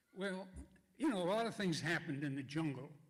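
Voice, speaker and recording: Audible room echo surrounds a man speaking at a fairly high pitch with ordinary pitch variation. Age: 90s. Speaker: war veteran. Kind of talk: testimony. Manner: halting.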